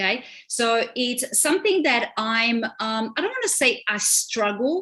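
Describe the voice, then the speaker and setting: A woman with a Romanian accent speaks at a fairly slow pace. Her fairly high voice has a bright, sharp tone and lively intonation. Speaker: relationship coach. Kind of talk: live stream panel discussion.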